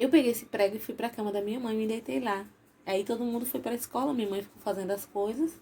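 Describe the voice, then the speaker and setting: A woman's fairly high, somewhat breathy voice with a dark, mellow tone, ordinary pitch variation, and a very fast pace. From Bahia, Brazil (Salvador), raised in Sergipe. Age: 40s. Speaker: YouTuber. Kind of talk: casual vlog storytelling.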